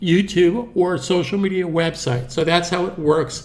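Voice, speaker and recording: A man with a high-pitched voice at a moderate pace. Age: 60s. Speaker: animation tutor. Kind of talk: tutorial. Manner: casual, conversational.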